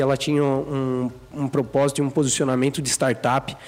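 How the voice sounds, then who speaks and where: This man has an ordinary speaking voice with fairly high pitch. He talks at a moderate pace. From Brazil, Sorocaba (São Paulo state). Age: 20s. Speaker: entrepreneur, clothing brand co-founder. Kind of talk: casual interview chat.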